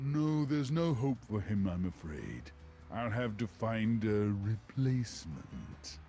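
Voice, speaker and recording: Putting on a character voice, a man speaks at a fairly slow pace with a fairly low pitch over clear background noise. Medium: video game. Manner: smooth, falsely friendly, chuckling.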